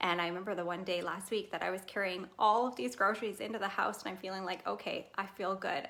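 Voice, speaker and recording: With ordinary pitch variation, the speech moves along at a fairly quick pace. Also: woman. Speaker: fitness program test group member. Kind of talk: casual livestream testimony. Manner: fast.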